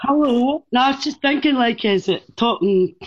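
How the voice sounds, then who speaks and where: A woman with a Scottish accent, very wide pitch swings and a moderate pace, over a quiet background. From Scotland. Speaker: podcast guest. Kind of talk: casual chat.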